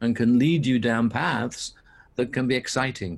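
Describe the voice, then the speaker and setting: A man at a medium pitch, somewhat breathy, talking at a moderate pace. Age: 70s. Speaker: leadership consultant and synchronicity researcher. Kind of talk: interview.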